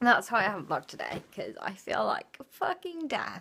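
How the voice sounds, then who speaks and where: This woman has a British accent. Her pitch sits fairly high. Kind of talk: casual vlog to camera. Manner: low-energy.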